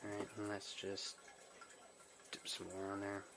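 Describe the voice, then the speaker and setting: Over noticeable background noise, a man with a fairly low pitch speaks at a fairly slow pace. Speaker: DIY hobbyist. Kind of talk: casual DIY repair video talk to camera. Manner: whispered.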